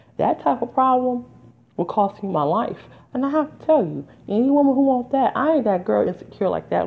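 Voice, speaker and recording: Over music in the background, a woman speaks at a high pitch with very wide pitch swings. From Detroit, US Midwest. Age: 40s. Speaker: podcast host and artist. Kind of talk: casual solo monologue. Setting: home recording with background music. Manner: animated.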